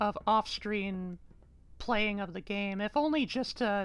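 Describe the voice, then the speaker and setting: The speaker has an American accent and ordinary pitch variation, talking at a very slow pace. Music plays in the background. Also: woman. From United States. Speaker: video game streamer. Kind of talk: live gameplay stream chat. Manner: casual, halting with repeats.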